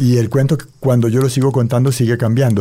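A man with a Valle del Cauca Colombian accent, medium in pitch, somewhat breathy, with a dark, mellow tone at a fairly quick pace. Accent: Colombian Valle del Cauca (caleño) Spanish. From Colombia, Cali. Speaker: storyteller and writer. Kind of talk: interview with oral storytelling. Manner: expressive storytelling delivery.

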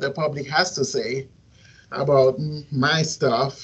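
Here a man speaks at a fairly slow pace. His voice is fairly high and somewhat breathy. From Haiti, Port-au-Prince. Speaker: singer-songwriter and media student. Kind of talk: interview answers. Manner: halting.

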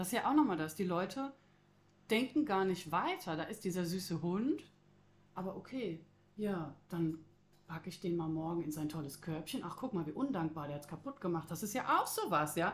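A woman's unremarkable speaking voice, fairly low in pitch, with lively intonation at a moderate pace. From Croatia. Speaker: animal shelter staff. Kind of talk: casual chat.

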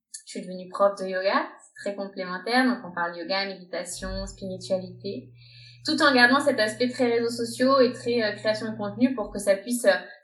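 Amid noticeable background noise, a woman speaks at a moderate pace with very wide pitch swings. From France. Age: 30s. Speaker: health coach and yoga teacher. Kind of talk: interview.

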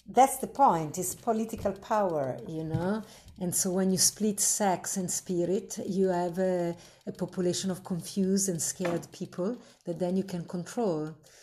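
A woman's somewhat breathy voice with a dark, mellow tone, medium pitch, ordinary pitch variation and a moderate pace, in an Italian accent.

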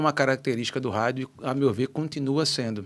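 A man with a normal speaking voice talks at a fairly quick pace, with medium pitch and ordinary pitch variation. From Natal, Rio Grande do Norte, Brazil (childhood in Rio de Janeiro). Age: 50s. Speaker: radio station director and businessman. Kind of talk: podcast interview.

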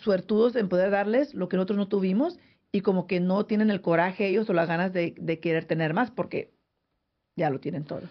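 A woman talks at a fairly quick pace. She has an ordinary speaking voice. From San José, California. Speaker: radio host. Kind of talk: casual radio chat. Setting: studio.

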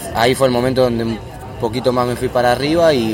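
A man speaks at a moderate pace with ordinary pitch variation. Room echo is audible, and there is noticeable background noise. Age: 20s. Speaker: footballer. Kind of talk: interview. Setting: café.

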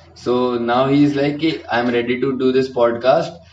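There is noticeable background noise behind this voice. A man speaks at a medium pitch with ordinary pitch variation. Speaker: podcast host, university student. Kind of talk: casual chat.

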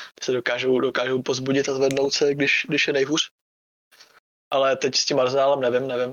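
At a fairly quick pace, a man delivers his words in a monotone, flat intonation. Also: medium pitch for a man. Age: 20s. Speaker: esports player. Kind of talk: casual chat.

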